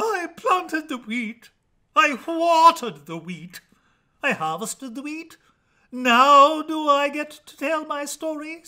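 In a put-on character voice pitched extremely high, a man speaks at a fairly slow pace. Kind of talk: comic overacting. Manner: indignant, complaining.

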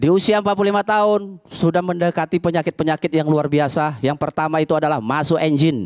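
An animated man speaks at a fairly quick pace and fairly high pitch, with ordinary pitch variation and very even loudness. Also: quiet background. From Medan, North Sumatra, Indonesia. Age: 40s. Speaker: stand-up comedian. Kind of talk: stand-up comedy set, storytelling jokes with acted-out dialogue. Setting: stage with live audience. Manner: animated, punchy delivery with comic voices for characters. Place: cafe. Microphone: handheld.

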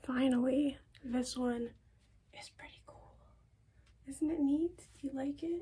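A soft-spoken woman with a high pitch, a dark, mellow tone and fairly even intonation. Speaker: fashion vlogger. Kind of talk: casual try-on haul chat. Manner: soft-spoken, hushed ASMR voice. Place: home room. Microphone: phone near.

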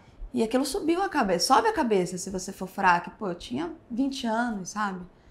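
A woman talks at a moderate pace, her voice somewhat breathy. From Rio de Janeiro, Brazil. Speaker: tattoo artist; podcast guest. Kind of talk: casual interview. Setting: tattoo convention backstage. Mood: relaxed, reflective. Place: studio.

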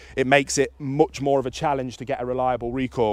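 A man talks at a fairly quick pace over a quiet background, the sound dry with no echo. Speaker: dog trainer. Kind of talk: tutorial. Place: open country.

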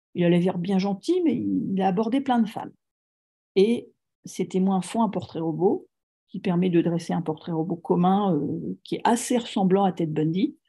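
A woman with a somewhat breathy, dark, mellow tone speaks with ordinary pitch variation and long, frequent pauses. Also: moderate pace, quiet background. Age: 40s. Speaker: author on serial killers; guest, storyteller. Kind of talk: lecture. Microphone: video call.

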